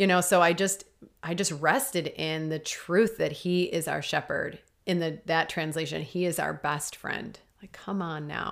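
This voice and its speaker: In a very clean recording with a silent background, a woman talks at a fairly slow pace with a fairly low pitch, vocal fry and ordinary pitch variation. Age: 40s. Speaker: life coach and podcast host. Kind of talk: casual faith chat.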